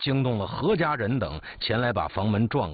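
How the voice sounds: Ordinary pitch variation runs through the clip. The delivery is a natural reading voice.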